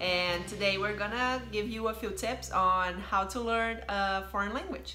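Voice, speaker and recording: Speaking at a fairly slow pace in a Brazilian accent, a woman keeps a medium pitch and fairly even intonation, with audible room echo and noticeable background noise. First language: Brazilian Portuguese. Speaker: YouTuber, channel host. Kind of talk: casual chat.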